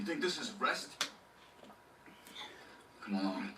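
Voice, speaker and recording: A man performs a raspy, put-on character voice. He speaks fairly slowly over clear background noise. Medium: video game. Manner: earnest.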